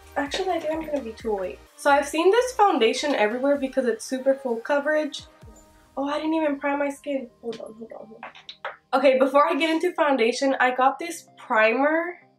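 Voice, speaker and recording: Music plays in the background as the speech runs at a fairly quick pace with ordinary pitch variation. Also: woman. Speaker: beauty vlogger. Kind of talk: casual talk to camera. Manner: chatty, casual.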